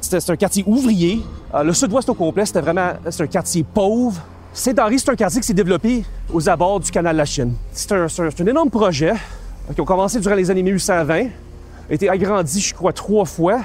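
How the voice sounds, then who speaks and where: A man's high voice in a Quebec accent, ordinary pitch variation, fairly quick pace broken by long, frequent pauses, and music in the background. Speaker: historian and university lecturer. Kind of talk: interview. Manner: hesitant, many fillers.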